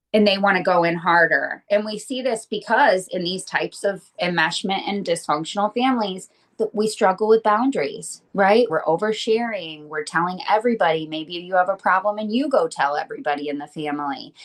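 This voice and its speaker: A woman with an American accent and a normal speaking voice talks at a fairly quick pace with hardly any pauses, at a medium pitch with ordinary pitch variation. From Michigan. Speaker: estrangement coach. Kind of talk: interview.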